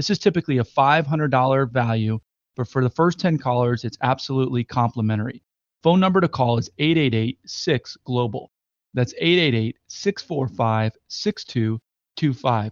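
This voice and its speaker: A man with a plain, everyday voice talks at a moderate pace, his medium pitch showing ordinary variation. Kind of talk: infomercial call-to-action pitch. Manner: urgent, repetitive, clearly enunciated number-reading.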